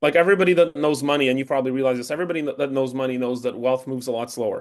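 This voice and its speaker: Speaking at a very fast pace, a man with a Canadian accent holds a medium pitch. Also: fairly even intonation. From Canada. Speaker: tailoring business founder. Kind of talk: interview.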